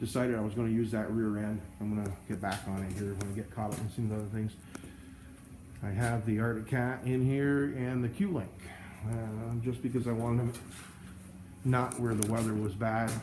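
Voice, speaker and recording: With audible room echo, a man at medium pitch speaks at a moderate pace with fairly even intonation and long, frequent pauses. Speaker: snow plowing business owner. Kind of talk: casual vlog walkthrough. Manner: halting, stammering.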